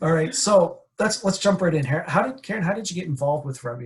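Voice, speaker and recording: In an Atlantic Canadian accent, a man speaks at a very fast pace in a high pitch with very wide pitch swings. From New Brunswick, Canada. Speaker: podcast host. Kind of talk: interview podcast. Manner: casual, filler-heavy.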